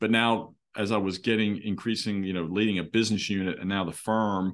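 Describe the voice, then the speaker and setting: Talking at a fairly quick pace, a man with an American accent uses an unremarkable speaking voice at a fairly low pitch. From Philadelphia, US. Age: 50s. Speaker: law firm CEO. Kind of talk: interview.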